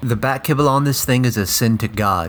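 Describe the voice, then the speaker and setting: He speaks rather quickly. The man has an unremarkable speaking voice with a medium pitch. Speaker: toy reviewer. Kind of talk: product review.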